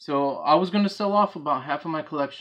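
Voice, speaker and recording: A man talks with a Bronx accent at a moderate pace. His pitch varies in an ordinary way against a quiet background. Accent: New York Bronx accent, now unhidden. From New York, the Bronx. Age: 40s. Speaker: hobbyist video creator, former Marine. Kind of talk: casual vlog talk. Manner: casual, blunt.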